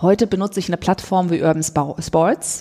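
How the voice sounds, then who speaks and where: At a moderate pace, a woman with an ordinary speaking voice talks at medium pitch, varying it in an ordinary way. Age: 50s. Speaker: author and social entrepreneur. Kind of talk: interview conversation. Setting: in person, Berlin.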